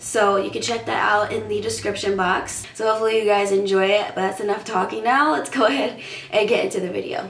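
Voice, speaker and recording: Fairly quick, fairly even speech amid noticeable background noise and audible room echo. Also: woman, medium pitch for a woman. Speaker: beauty vlogger. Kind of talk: tutorial. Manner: casual, chatty.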